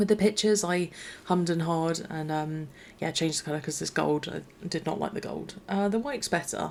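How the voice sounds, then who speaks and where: Quiet and fairly quick, a woman speaks at a fairly low pitch with ordinary pitch variation. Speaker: gaming YouTuber. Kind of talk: gameplay commentary voiceover. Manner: quiet, low energy; hesitant, many fillers and restarts.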